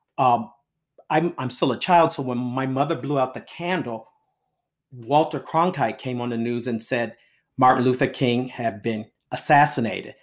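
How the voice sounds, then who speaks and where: A man's medium-pitched voice with an American accent, a moderate pace, ordinary pitch variation and a normal speaking voice, on a very clean recording with a silent background. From Baltimore, US. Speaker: author. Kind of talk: interview.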